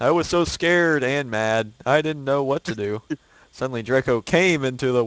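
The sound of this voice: This is an unforced reading voice. It carries no other marked features.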